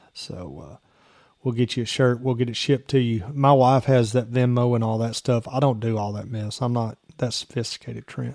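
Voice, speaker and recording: Delivered at a moderate pace with fairly even intonation, a normal speaking voice comes through on a very clean recording with a silent background. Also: man, medium pitch for a man. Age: 40s. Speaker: sports podcast host. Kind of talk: sports talk show.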